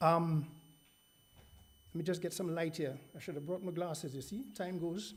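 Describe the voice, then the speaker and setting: Moderately paced, high-pitched speech from a man amid audible room echo. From England. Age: 60s. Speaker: seminar speaker. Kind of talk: presentation. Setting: seminar hall with audience.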